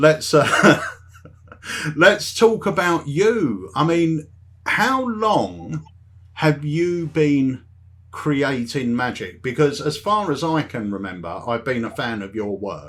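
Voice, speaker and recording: A man with a London accent speaks very slowly in a fairly high pitch, with very wide pitch swings. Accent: London, almost Cockney. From South London, England. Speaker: magic review show host. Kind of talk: casual interview chat.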